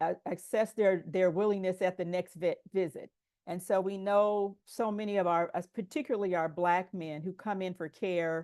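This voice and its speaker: A woman's normal speaking voice, medium in pitch, with ordinary pitch variation, a moderate pace and a quiet background. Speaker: public health presenter. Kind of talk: conference presentation.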